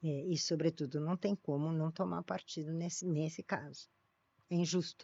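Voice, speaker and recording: A woman speaks at a fairly low pitch and a moderate pace. Her intonation stays monotone and flat. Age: 70s. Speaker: sociology professor. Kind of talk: podcast interview. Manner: halting, many restarts.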